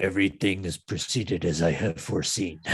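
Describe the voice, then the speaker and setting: In a put-on character voice, a man speaks at a fairly quick pace with a very deep, low pitch. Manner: menacing, pompous.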